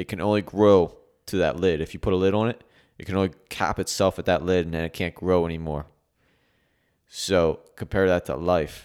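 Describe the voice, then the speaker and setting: On a very clean recording with a silent background, a man speaks with a very deep, low pitch and fairly even intonation. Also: moderate pace. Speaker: podcast co-host. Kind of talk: casual podcast chat.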